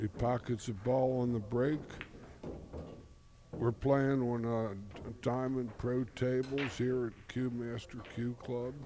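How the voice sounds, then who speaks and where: A man talks at a very slow pace in a monotone, flat intonation. Long pauses come often. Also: medium pitch for a man. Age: 70s. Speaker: pool commentator. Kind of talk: live commentary. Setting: commentary booth at pool hall. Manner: halting.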